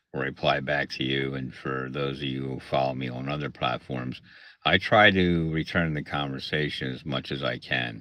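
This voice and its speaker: With a Pennsylvania accent, a man speaks at a moderate pace in a very deep, low pitch. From Pennsylvania (Lancaster area). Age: 60s. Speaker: content creator and arcade technician. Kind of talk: casual livestream talk. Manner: hesitant, many fillers.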